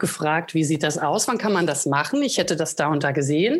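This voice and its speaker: A woman talks at a moderate pace in an ordinary speaking voice. Her intonation is lively. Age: 30s. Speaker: animal shelter volunteer. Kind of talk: interview.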